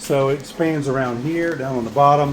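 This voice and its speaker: A man with a Southern US accent, fairly high-pitched, at a moderate pace with fairly even intonation, plus noticeable background noise and audible room echo. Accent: rural Southern. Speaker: small business owner, 3D print farm. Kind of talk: video tour. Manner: casual, halting with fillers.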